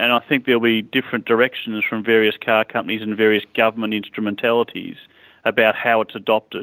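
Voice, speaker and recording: Delivery from this man is monotone, with flat intonation and a medium pitch. He talks at a very fast pace. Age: 50s. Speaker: car company executive. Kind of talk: interview. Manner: hesitant, many fillers and repetitions.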